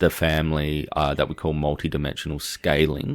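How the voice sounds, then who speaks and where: Heard in a very clean recording with a silent background, the speaker uses an Australian accent at a moderate pace. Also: man. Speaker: consciousness researcher. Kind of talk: casual academic discussion.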